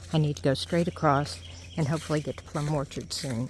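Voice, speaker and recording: Using vocal fry, a woman speaks at a very deep, low pitch with very wide pitch swings. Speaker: hiker vlogger. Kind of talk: casual vlog narration. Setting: outdoors on a trail.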